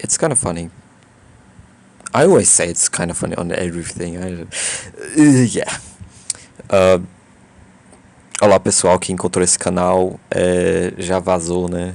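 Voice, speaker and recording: With a very deep, low pitch and ordinary pitch variation, a man speaks. His pace is fairly slow, with long, frequent pauses. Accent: slight non-native. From Brazil. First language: Portuguese. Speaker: YouTuber. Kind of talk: casual vlog monologue. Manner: halting, many fillers and restarts.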